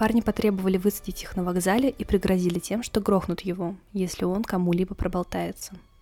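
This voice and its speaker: Over music in the background, a woman talks at a very fast pace with a medium pitch and fairly even intonation. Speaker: podcast host, true crime storyteller. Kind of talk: true-crime narration. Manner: grave, suspenseful storytelling with dramatic pauses and rhetorical questions; measured, dry, matter-of-fact reporting of police case facts.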